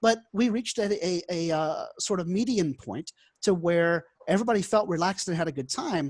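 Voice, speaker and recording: Speaking with an American accent, a man uses a high pitch, ordinary pitch variation, and a moderate pace. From South Carolina. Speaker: job applicant, former newspaper reporter. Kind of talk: job interview.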